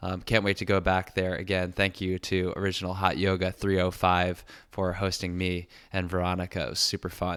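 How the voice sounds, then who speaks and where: Very deep and low, this man's voice moves at a moderate pace on a very clean recording with a silent background. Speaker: podcast host. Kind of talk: podcast intro.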